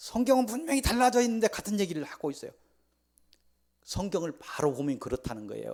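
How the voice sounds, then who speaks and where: This man talks at a fairly quick pace in a high voice, his pitch swinging very widely. He leaves long, frequent pauses. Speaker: pastor. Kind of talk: sermon. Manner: speeds up when running late; not eloquent, plain delivery.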